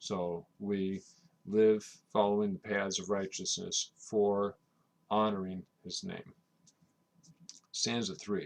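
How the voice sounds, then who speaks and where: Very slowly and in a flat monotone, a man speaks with long, frequent pauses. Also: fairly low pitch for a man. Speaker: sign language interpreter. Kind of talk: hymn explanation, instructional talk.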